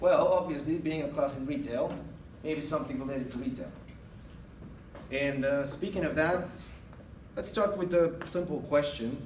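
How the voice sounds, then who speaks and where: With an Eastern European accent and a fairly high pitch, a man talks at a fairly quick pace amid noticeable background noise and audible room echo. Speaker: guest speaker, retail manager. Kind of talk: guest lecture to a class. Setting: classroom. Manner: hesitant, many fillers.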